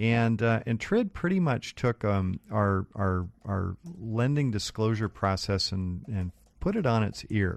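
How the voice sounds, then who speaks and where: A man with a plain, everyday voice and an American accent, fairly low in pitch with ordinary pitch variation, at a fairly slow pace, in a dry, close sound with no echo over a quiet background. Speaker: mortgage lender radio co-host. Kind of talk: radio talk show. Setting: studio. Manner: joking.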